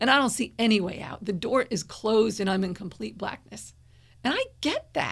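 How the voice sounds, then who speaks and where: A somewhat breathy voice with an American accent, ordinary pitch variation and a moderate pace. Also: woman, fairly high pitch for a woman. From northern New Jersey. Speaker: yoga therapist. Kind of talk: interview.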